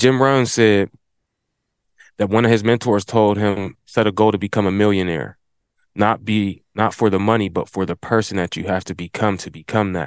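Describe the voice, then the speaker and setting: A plain, everyday voice from a man, fairly low in pitch, at a moderate pace with fairly even intonation and a dry, close sound with no echo. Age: 40s. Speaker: lawn care business owner. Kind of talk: casual chat.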